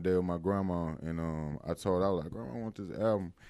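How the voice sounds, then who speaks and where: A man talks at a very fast pace with an American accent. His very deep, low voice carries a dark, mellow tone. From Mississippi, Winston County. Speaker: rapper. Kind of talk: casual interview. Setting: in person studio.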